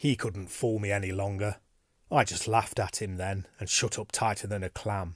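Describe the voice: Simple, plain reading aloud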